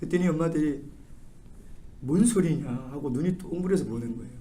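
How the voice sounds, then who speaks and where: A man's fairly quick, lively voice with a dark, mellow tone, fairly high pitch, vocal fry and audible room echo. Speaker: pastor. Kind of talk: sermon. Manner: animated.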